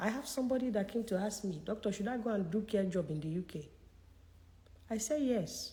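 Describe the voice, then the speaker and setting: Her dark, mellow tone is somewhat breathy as this woman moves at a fairly quick pace. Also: medium pitch for a woman, ordinary pitch variation. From Nigeria. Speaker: career consultant. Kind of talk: live Q&A session. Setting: livestream. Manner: animated.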